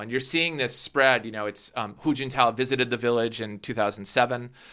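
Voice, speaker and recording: A man with an American accent, medium pitch and a bright, sharp tone, at a fairly quick pace with hardly any pauses and ordinary pitch variation, in a very clean recording with a silent background. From US Midwest, Minnesota. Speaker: author. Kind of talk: interview. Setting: studio.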